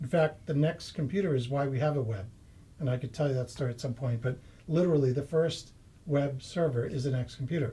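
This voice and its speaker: A somewhat breathy man with a fairly high pitch and a dark, mellow tone, talking at a very fast pace with an American accent. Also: ordinary pitch variation. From US, Massachusetts. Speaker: property investor and software engineer. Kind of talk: interview.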